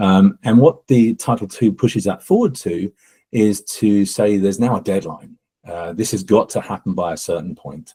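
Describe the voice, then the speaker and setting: A dark, mellow tone with an English accent, ordinary pitch variation and a moderate pace, dry and close with no echo. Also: man, fairly low pitch for a man. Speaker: accessibility company co-founder. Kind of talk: panel webinar discussion. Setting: live webinar.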